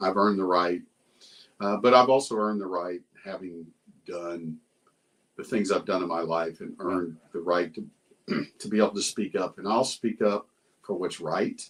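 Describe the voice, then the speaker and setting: With a Texan accent, a man speaks at a moderate pace and fairly low pitch, his intonation fairly even and broken by long, frequent pauses. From Texas, Round Rock. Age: 60s. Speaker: retired police officer. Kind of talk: casual chat.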